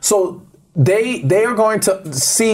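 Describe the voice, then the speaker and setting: This is a man's voice. His intonation is lively. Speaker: relationship expert. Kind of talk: interview conversation.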